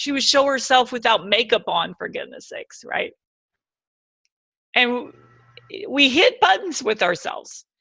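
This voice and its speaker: A woman's high-pitched, bright, sharp voice at a moderate pace, with lively intonation, big swings in loudness and long, frequent pauses. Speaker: speaker and CEO of speakers association. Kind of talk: webinar talk. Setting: webinar. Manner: animated.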